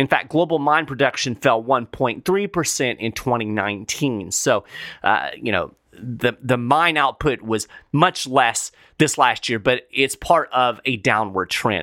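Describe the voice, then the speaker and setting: A normal speaking voice from a man, medium in pitch and fairly slow, with lively intonation on a very clean recording with a silent background. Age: 50s. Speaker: podcast host covering precious metals news. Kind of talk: solo podcast commentary. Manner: casual, conversational.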